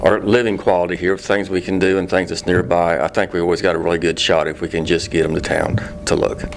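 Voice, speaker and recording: Over noticeable background noise, a man speaks at a very fast pace in a very deep, low pitch. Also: fairly even intonation. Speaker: city utility superintendent. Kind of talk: casual interview.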